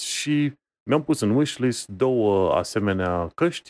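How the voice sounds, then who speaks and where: A man speaks at medium pitch in a normal speaking voice, with lively intonation. The sound is dry and close with no echo, and the recording is very clean with a silent background. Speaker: tech podcast co-host. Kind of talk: casual chat.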